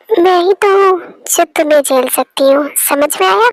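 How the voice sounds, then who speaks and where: A woman's squeaky, put-on character voice, high-pitched, with very wide pitch swings and very even loudness. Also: moderate pace, dry, close sound with no echo. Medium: fan dub. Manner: playful, teasing.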